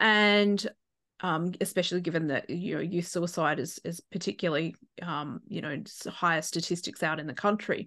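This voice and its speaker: Against a quiet background, a woman with an Australian accent speaks with ordinary pitch variation. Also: fairly low pitch for a woman, moderate pace. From outback New South Wales, Australia. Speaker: coach and keynote speaker. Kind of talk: interview.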